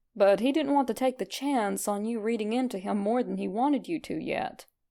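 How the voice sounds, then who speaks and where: A woman talks at a moderate pace. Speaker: fanfiction podfic reader. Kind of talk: fanfiction story reading.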